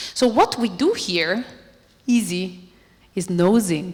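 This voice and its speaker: A woman with an Italian accent, medium pitch, ordinary pitch variation and a fairly slow pace. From Italy. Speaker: robotics researcher. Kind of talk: lecture. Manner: animated.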